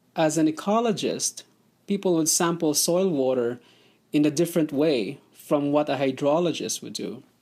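A man's fairly high, dark and mellow voice at a moderate pace, with ordinary pitch variation and a very clean recording over a silent background. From Philippines. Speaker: researcher. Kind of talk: interview. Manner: halting.

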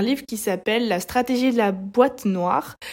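Her pitch fairly high, a woman speaks with ordinary pitch variation. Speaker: solo podcaster. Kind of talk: solo monologue podcast. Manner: animated.

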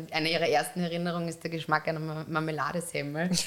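A woman speaks very fast in a fairly low voice, her intonation flat and monotone. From Upper Austria. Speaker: podcast host, magazine editor. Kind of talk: interview.

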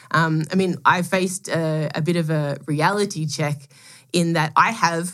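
At a moderate pace, a woman speaks in a very deep, low pitch with fairly even intonation. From Melbourne, Australia. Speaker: product executive and angel scout. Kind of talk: casual interview chat.

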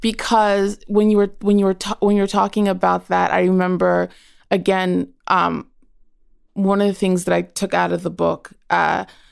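At a moderate pace, a woman speaks on a very clean recording with a silent background. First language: Yaku. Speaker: writer and mother. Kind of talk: casual conversation.

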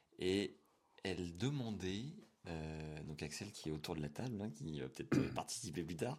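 His voice is very deep and low, and this man uses ordinary pitch variation. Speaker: podcast host. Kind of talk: interview.

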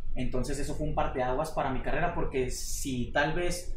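Audible room echo and noticeable background noise surround a man talking at a fairly quick pace. His pitch shows ordinary variation. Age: 20s. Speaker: karate athlete. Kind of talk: interview.

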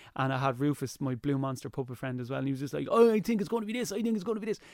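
A man's very fast speech in an Irish accent, with very wide pitch swings. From Ireland. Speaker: TV presenter and YouTuber. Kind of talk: casual chat. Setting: studio. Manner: energetic.

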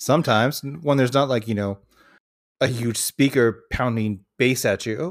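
On a very clean recording with a silent background, a man with an American accent has an unremarkable speaking voice, medium in pitch with ordinary pitch variation, at a moderate pace. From Washington State, US. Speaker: podcast co-host. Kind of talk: casual chat.

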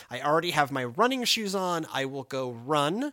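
The voice has a bright, sharp tone and lively intonation. The recording is very clean, with a silent background. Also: man. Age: 30s. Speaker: pastor. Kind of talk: casual chat. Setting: studio.

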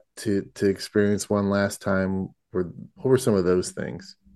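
An unremarkable speaking voice from a man, fairly low in pitch, at a moderate pace against a quiet background. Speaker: podcast host. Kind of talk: podcast interview.

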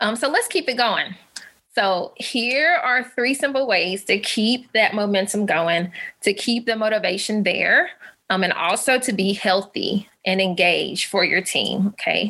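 With a Southern US accent, a woman speaks in a bright, sharp tone at a fairly high pitch. Her pace is fairly slow, her intonation lively and her loudness very even. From US South, Alabama. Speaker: physical therapist and wellness coach. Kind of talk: webinar presentation.

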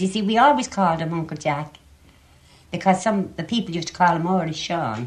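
In a Dublin accent, a woman speaks at a fairly quick pace with a fairly low pitch, lively intonation and a somewhat breathy quality. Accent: Dublin Irish. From Ireland, Dublin. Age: 70s. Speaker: interviewee, relative of writer. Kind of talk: interview.

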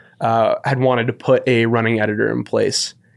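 A man with a West Coast US accent speaks at medium pitch and a moderate pace, in a flat monotone. The recording is very clean, with a silent background. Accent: General American, West Coast. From US West Coast, San Francisco. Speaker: running editor and podcast host. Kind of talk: casual chat. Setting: studio.

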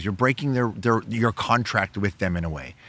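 Speaking at a moderate pace, a man with a medium-pitched voice sounds animated, his pitch swinging very widely. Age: 40s. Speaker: broadcaster and producer. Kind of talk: casual chat.

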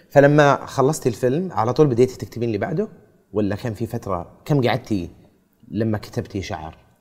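With lively intonation, a man in an unremarkable speaking voice talks at a medium pitch and a moderate pace. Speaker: podcast host and interviewer. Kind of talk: casual interview.

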